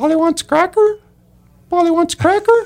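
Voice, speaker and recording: This is a put-on character voice pitched extremely high. The pace is moderate. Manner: repetitive, mimicking.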